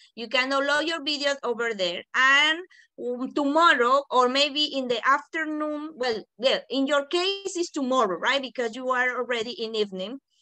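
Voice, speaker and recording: With music in the background, a high-pitched woman speaks in a raised, projected voice with hardly any pauses. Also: ordinary pitch variation, moderate pace. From Panama. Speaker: teacher trainer. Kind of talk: online workshop. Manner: smooth.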